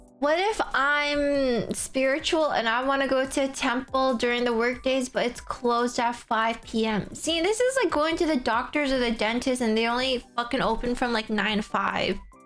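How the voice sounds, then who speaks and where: A high-pitched woman speaks with hardly any pauses and very even loudness over noticeable background noise. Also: ordinary pitch variation, moderate pace. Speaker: streamer. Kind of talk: casual chat.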